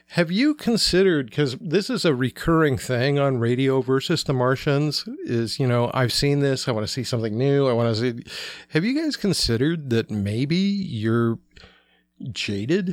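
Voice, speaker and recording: In an ordinary speaking voice, a man talks at a moderate pace with fairly high pitch, lively intonation and very even loudness. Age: 50s. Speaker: pop culture writer. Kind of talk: casual chat.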